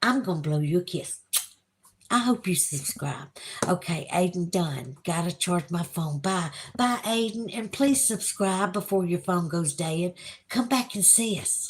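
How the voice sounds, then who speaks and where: The pace stays fairly slow. Intonation moves in a lively way. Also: woman, fairly low pitch for a woman. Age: 50s. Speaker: YouTube livestreamer. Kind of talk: casual livestream chat reading viewer comments. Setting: home livestream by candlelight with Halloween music.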